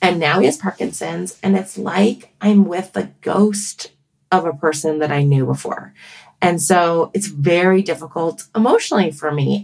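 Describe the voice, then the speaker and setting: An ordinary speaking voice from a woman, fairly low in pitch with ordinary pitch variation, at a moderate pace. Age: 40s. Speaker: pediatrician and author. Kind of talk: casual interview.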